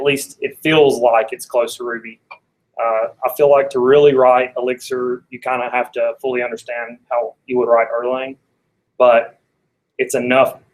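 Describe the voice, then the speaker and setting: Speaking with an Alabama accent, a man of medium pitch keeps a moderate pace and a monotone, flat intonation. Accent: Alabama Southern US. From US South, Athens, Alabama. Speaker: software developer, tech meetup speaker. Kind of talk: technical talk.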